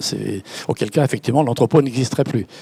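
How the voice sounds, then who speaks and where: The man's medium-pitched voice has ordinary pitch variation and a dry, close sound with no echo. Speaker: company founder. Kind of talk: panel discussion. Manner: halting, repeats words.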